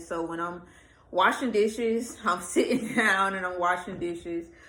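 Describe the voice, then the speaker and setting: With audible room echo, a woman speaks in a bright, sharp tone and fairly even intonation. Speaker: vlogger, pregnant single mom. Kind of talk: casual vlog rant. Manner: casual, hesitant with fillers.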